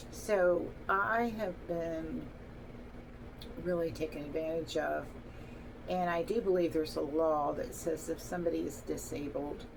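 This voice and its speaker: With long, frequent pauses and a fairly slow pace, a woman speaks in a fairly low pitch with ordinary pitch variation, and audible room echo is present. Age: 60s. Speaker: vlogger telling personal story. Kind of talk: personal testimony monologue. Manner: halting, with fillers.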